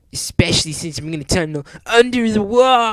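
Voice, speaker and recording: A man's put-on character voice at a high pitch and a moderate pace. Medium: read story. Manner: cocky, mocking.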